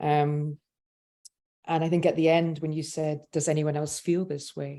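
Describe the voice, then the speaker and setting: A woman in a Scottish accent, very deep and low-pitched, dark and mellow in tone, at a moderate pace. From Scotland. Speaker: panel moderator. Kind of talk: panel discussion. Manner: hesitant, many fillers.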